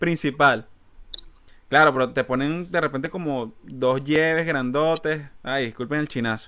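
With a Venezuelan accent, a man with a fairly high pitch talks at a fairly slow pace in a bright, sharp tone. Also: ordinary pitch variation. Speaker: podcast host. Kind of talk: casual chat. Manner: animated.

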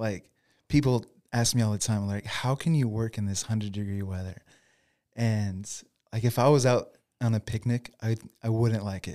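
Long, frequent pauses break up a man's speech at a moderate pace, his tone dark and mellow. The recording is very clean with a silent background. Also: medium pitch for a man, fairly even intonation. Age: 40s. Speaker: lawn care business owner, former pastor. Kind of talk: interview.

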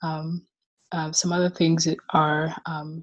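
A woman talks at a fairly slow pace in a somewhat breathy, fairly low voice. Her intonation stays monotone and flat. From Rwanda. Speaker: recent philosophy graduate. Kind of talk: interview. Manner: halting, many repetitions.

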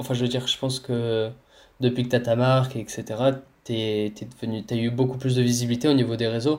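His voice is medium in pitch and his intonation monotone and flat. The man moves along at a fairly quick pace. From Cannes / Nice area, southern France. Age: 20s. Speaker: street workout athlete. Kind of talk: casual interview.

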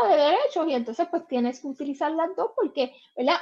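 There's ordinary pitch variation in this woman's high voice. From Puerto Rico, Guayama. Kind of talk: interview.

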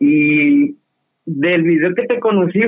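The speaker is a man with a high-pitched voice. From Baja California Sur, Mexico. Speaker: caller. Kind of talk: casual chat.

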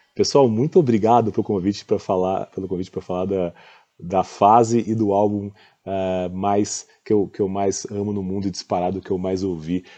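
Man's fairly low voice with a dark, mellow tone, fairly even intonation and a moderate pace. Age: 40s. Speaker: fund manager. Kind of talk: casual commentary on music. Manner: hesitant, many fillers.

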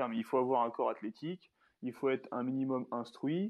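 A man speaks at a moderate pace and medium pitch, with ordinary pitch variation. It is a plain, everyday voice. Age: 20s. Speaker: social media personal development creator. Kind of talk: casual interview.

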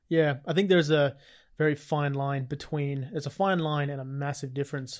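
A man with an Australian accent, fairly high in pitch, at a moderate pace with fairly even intonation, on a very clean recording with a silent background. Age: 20s. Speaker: fitness podcast co-host. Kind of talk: casual chat.

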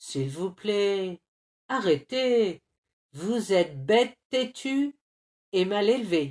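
Against a quiet background, someone reads aloud plainly, the intonation lively.

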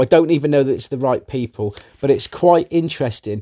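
A man with an English accent, fairly high in pitch, at a fairly quick pace, in a dark, mellow tone with a dry, close sound with no echo. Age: 40s. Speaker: podcast host. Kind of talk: casual monologue. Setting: at home. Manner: animated.

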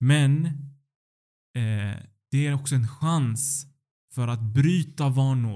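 Here a man speaks at a medium pitch with a dark, mellow tone and fairly even intonation. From Sweden. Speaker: doctoral student in Islamic philosophy. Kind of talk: religious teaching conversation.

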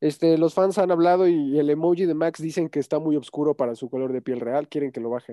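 Barely pausing, a man rattles along at a very fast pace in a fairly high pitch with ordinary pitch variation. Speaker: podcast host. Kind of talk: casual chat.

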